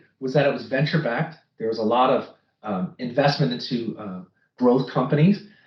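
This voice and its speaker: A somewhat breathy man with an American accent and lively intonation. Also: big swings in loudness. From United States. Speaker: finance executive. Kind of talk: interview. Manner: repetitive false starts.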